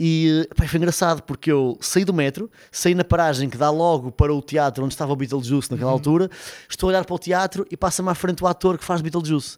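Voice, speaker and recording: A man talks very fast in a fairly high voice, with ordinary pitch variation. The sound is dry and close, with no echo. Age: 30s. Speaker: podcast host. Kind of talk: casual chat. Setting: studio.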